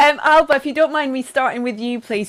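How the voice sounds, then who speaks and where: A woman with a Scottish accent talks over noticeable background noise. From Scotland. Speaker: event presenter. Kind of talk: live interview. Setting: live show.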